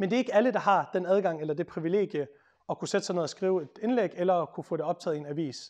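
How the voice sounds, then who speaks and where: Over a quiet background, a man talks at a very fast pace with a high pitch and ordinary pitch variation. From Denmark. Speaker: lawyer and author; speaker. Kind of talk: public talk. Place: meeting room. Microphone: lapel.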